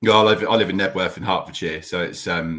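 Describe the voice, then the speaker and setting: A man talks at a very fast pace in a bright, sharp tone with fairly even intonation. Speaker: podcast host. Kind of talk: casual chat.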